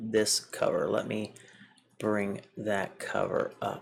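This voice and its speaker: A slight Southern US accent at a very slow pace. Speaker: comic book reviewer. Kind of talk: casual video review. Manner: casual with frequent fillers.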